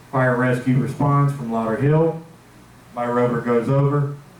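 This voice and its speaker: Amid noticeable background noise and audible room echo, a man speaks at a medium pitch and moderate pace with monotone, flat intonation. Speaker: security supervisor presenting to board. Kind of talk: meeting presentation. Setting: board meeting with microphone.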